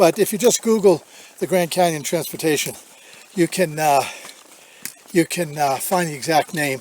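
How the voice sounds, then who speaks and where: Taking long, frequent pauses, a man speaks in a high pitch with ordinary pitch variation, in a dry, close sound with no echo and noticeable background noise. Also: moderate pace. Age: 70s. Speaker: hiking vlogger. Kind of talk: casual vlog Q&A. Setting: outdoors on a hike. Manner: halting with fillers.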